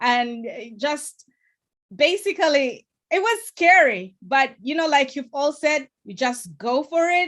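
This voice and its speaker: A woman's high-pitched voice with a non-native accent, at a fairly slow pace. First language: not English. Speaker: political candidate and TV producer. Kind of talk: panel discussion.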